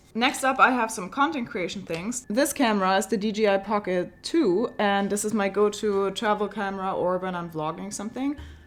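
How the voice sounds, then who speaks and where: Medium in pitch, a woman speaks with a German accent. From Germany. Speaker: travel and tech vlogger. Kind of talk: casual product walkthrough vlog.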